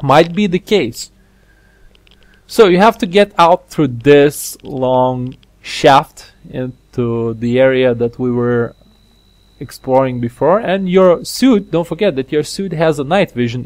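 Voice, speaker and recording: A man with a non-native accent speaks at a very slow pace and a fairly high pitch, his intonation lively and the sound dry and close with no echo. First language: not English. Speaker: gaming video creator. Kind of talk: gameplay commentary. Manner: halting.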